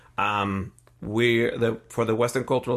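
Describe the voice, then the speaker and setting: Against a quiet background, a man with a Spanish accent speaks at a moderate pace with vocal fry and ordinary pitch variation. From Mexico City. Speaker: multidisciplinary artist and musician. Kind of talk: casual interview. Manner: hesitant with many fillers.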